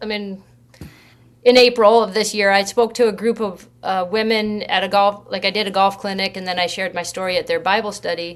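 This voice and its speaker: A woman with an American accent and a normal speaking voice, medium pitch, ordinary pitch variation and a fairly quick pace. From US, northern Idaho. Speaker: pro golfer and author. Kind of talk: interview.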